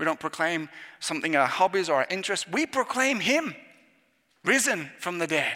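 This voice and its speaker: The tone is bright and sharp, in an English accent. The pitch swings very widely. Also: man. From England. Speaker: youth minister. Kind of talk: sermon.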